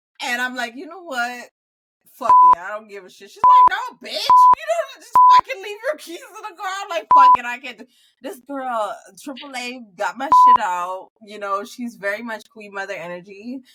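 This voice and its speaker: A woman's raised, projected, high-pitched voice, animated in tone, at a moderate pace, with very wide pitch swings and big swings in loudness. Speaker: podcast co-host. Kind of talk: casual chat.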